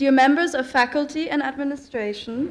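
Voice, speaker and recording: A woman's high-pitched voice, fairly slow, with ordinary pitch variation. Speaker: speaker. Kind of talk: ceremonial speech. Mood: formal, warm. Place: hall. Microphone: podium.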